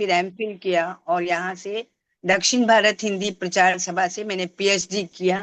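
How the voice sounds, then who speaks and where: Speaking in a Tamil accent, a woman keeps a medium pitch and a monotone, flat intonation. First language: Tamil (speaking Hindi). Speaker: Hindi professor and language promoter. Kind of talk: interview. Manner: halting, with fillers.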